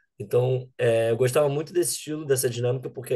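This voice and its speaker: Very fast and somewhat breathy, a man speaks in a dark, mellow tone with ordinary pitch variation over a quiet background. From Brazil, Rio de Janeiro. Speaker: data scientist, bootcamp alumnus. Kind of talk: interview.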